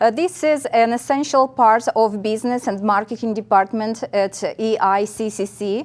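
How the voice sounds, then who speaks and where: A woman's fairly high pitch with ordinary pitch variation, in a Russian accent. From central Russia, Nizhny Novgorod region. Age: 50s. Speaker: college instructor. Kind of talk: interview.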